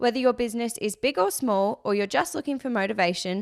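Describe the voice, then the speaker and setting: With an ordinary speaking voice, a woman talks at a fairly quick pace with a fairly high pitch and lively intonation on a very clean recording with a silent background. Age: 20s. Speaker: podcast host and business co-founder. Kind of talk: casual chat; scripted intro.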